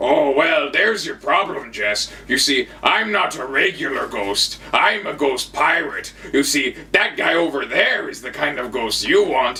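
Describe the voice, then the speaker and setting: Growling in a put-on character voice, a man speaks at a moderate pace. Clear background noise is present. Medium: read story.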